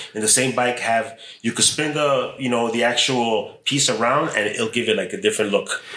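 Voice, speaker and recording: An ordinary speaking voice from a man with an American accent, medium pitch, ordinary pitch variation and a moderate pace. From Chicago. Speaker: metal sculptor. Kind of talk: casual chat. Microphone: poor sound, ambient recording.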